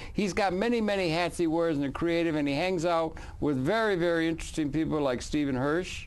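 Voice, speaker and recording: Talking at a fairly quick pace, a man has a plain, everyday voice with ordinary pitch variation. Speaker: TV interview host; geographer. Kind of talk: interview conversation.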